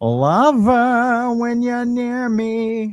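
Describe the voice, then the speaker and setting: It is a put-on character voice with a fairly high pitch. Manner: mimicking a film line.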